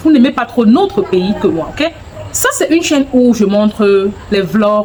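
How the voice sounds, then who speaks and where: Amid noticeable background noise, a woman speaks very slowly at a fairly high pitch with very wide pitch swings. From Anglophone Cameroon. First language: English (speaking French). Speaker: vlogger. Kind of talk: casual vlog talk to camera. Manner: halting, searching for words.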